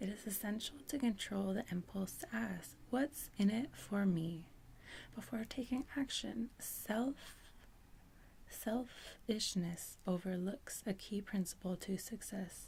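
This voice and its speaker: Whispering, a soft-spoken woman talks at a very slow pace in a somewhat breathy voice, with long, frequent pauses. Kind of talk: ASMR book reading. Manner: soft-spoken, whispering.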